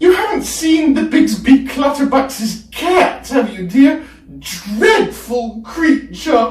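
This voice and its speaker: A high-pitched, put-on character voice speaks at a very slow pace with a slight echo. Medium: read story.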